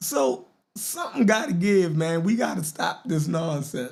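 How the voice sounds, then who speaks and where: Very slowly and with lively intonation, a man with a high pitch speaks in a Baltimore accent. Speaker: podcast host. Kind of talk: casual live-stream talk show. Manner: animated.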